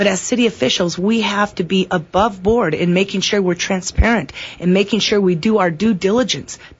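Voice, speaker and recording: Somewhat breathy, the voice goes at a fairly quick pace with very even loudness. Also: woman, medium pitch for a woman, ordinary pitch variation. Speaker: city council candidate. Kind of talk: radio interview. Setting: radio studio. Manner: fast.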